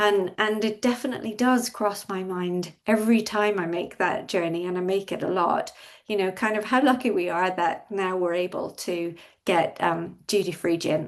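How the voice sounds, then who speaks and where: With an Irish accent, a woman talks at medium pitch and a moderate pace, using ordinary pitch variation. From Ireland. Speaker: industry expert panelist. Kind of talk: panel discussion.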